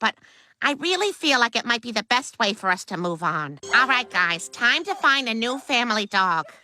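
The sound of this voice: In a cartoonish character voice, a female-sounding speaker talks at a moderate pace with a fairly high pitch and very wide pitch swings.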